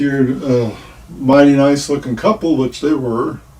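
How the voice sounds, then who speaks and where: This man's voice is fairly high. There is noticeable background noise. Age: 60s. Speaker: retired rideshare driver and vlogger. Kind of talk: casual storytelling monologue. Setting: livestream.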